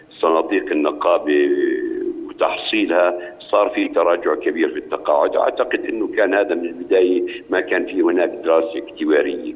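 There is noticeable background noise in this recording. A man speaks through it at a moderate pace. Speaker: actor, artists' union board member. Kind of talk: interview. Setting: phone call.

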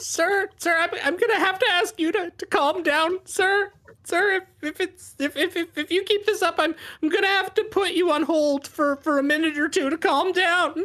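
An extremely high-pitched, put-on character voice moves along at a fairly slow pace. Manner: polite, officious, call-center calm.

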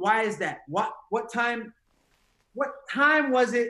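At an extremely high pitch, a man speaks in a raised, projected voice with an animated, bright, sharp tone and lively intonation at a fairly slow pace. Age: 40s. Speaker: motivational speaker. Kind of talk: interview.

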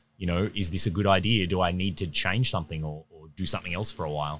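On a very clean recording with a silent background, a man with an Australian accent talks very fast at a very deep, low pitch with ordinary pitch variation. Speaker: overland traveler and adventurer. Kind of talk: casual interview chat. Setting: recorded at an outdoor expo event.

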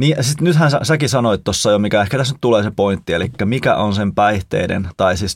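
With a normal speaking voice, a man talks at a fairly quick pace. His pitch is fairly low and his intonation lively. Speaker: podcast co-host and pastor. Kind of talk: casual chat.

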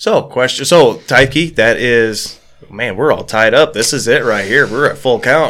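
Using a normal speaking voice, a man talks at a medium pitch, his pitch varying in an ordinary way. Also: fairly slow pace. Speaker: podcast host. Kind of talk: casual chat. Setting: studio.

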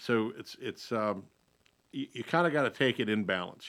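With a North Carolina accent, a man speaks at a medium pitch and a fairly quick pace. His tone is bright and sharp. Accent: North Carolina Southern. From North Carolina (Lincolnton, Lake Norman area). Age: 40s. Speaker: state legislator and radio host. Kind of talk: radio talk show.

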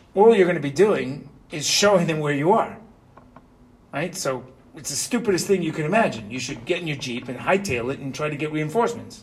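Fairly quick speech with audible room echo. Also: man, fairly high pitch for a man, lively intonation, big swings in loudness. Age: 50s. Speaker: yeshiva rabbi teaching Torah portion. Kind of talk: Torah class. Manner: animated.

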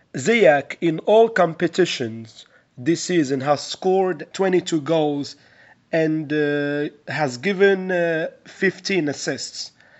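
Speaking at a very slow pace, a man with a fairly high pitch shows ordinary pitch variation. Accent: Moroccan. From Morocco. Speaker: sports reporter and analyst. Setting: remote call.

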